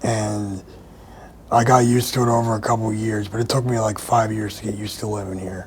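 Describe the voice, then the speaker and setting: Amid audible room echo, a man with an American accent talks at a fairly quick pace in a fairly low, monotone, flat voice. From Philadelphia, US Northeast. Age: 30s. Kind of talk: interview. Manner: halting.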